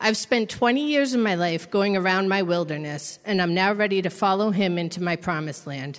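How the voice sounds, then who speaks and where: A woman's ordinary speaking voice, medium in pitch, with lively intonation, a fairly quick pace, hardly any pauses, and an American accent. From Massachusetts. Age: 30s. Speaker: recovery program resident. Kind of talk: testimony.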